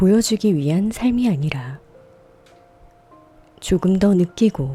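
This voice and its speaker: With music in the background, a woman with a medium-pitched voice speaks in a calm tone at a very slow pace. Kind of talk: ASMR radio reading, sleep and healing narration. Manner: soft, calm, slow.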